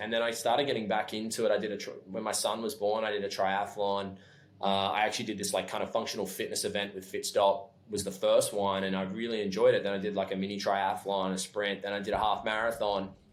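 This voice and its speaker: A man with an Australian accent talks at a very fast pace in a fairly low voice. His pitch varies in an ordinary way, and the room echo is audible. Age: 30s. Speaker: clothing company founder. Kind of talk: podcast interview. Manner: fast when excited; halting, many restarts.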